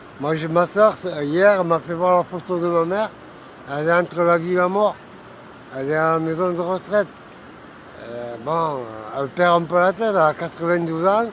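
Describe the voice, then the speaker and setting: A man speaks at a high pitch and a moderate pace, with ordinary pitch variation. Noticeable background noise runs underneath. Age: 60s. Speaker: homeless man. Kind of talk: personal testimony. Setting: outdoors on a street bench. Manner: halting.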